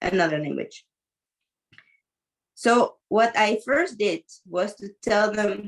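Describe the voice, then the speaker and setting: A woman with a non-native accent speaks at a fairly slow pace, her medium pitch showing ordinary variation. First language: not English. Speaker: teacher and mentor. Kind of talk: coaching conversation.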